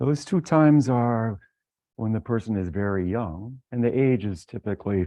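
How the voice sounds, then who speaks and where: Fairly low-pitched male voice with lively intonation, at a fairly slow pace. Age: 60s. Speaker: professor. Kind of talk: lecture. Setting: seminar room with audience. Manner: halting, with repetitions and fillers.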